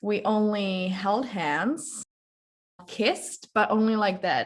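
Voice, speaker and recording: A fairly high, somewhat breathy woman's voice at a very slow pace, with ordinary pitch variation. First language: not English. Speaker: guest on relationships podcast. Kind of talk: casual interview chat.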